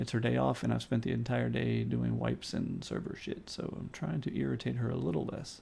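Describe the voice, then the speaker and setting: This man is soft-spoken. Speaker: game server owner. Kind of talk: live stream meeting.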